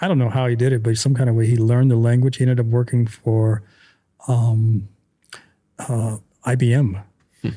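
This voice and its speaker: Medium in pitch, a man speaks in a dark, mellow, somewhat breathy tone at a very even loudness. Long, frequent pauses break up his speech. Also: moderate pace. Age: 40s. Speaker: podcast host. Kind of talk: casual interview chat. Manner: animated.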